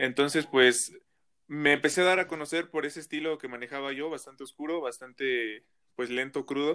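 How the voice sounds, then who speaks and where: With a central Mexican accent, a man speaks at a moderate pace in a fairly high pitch, his tone bright and sharp and his intonation fairly even, on a very clean recording with a silent background. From central Mexico, State of Mexico (Toluca). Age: young. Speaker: rapper. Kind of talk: interview.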